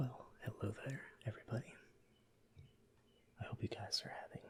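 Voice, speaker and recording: A man is whispering at a moderate pace. His tone is relaxed. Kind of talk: educational ASMR show-and-tell about fossils. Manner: soft-spoken, whispered, relaxed.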